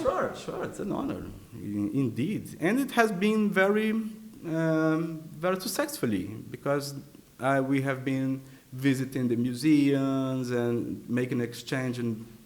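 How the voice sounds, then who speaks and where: A man with a Portuguese accent talks at a fairly slow pace. His pitch is fairly high and his intonation lively. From Brazil. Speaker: artist and composer. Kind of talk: interview answer.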